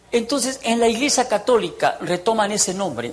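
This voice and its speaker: A man talks with a high pitch. There is noticeable background noise. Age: 60s. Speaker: former priest giving testimony. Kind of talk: testimony. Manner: animated.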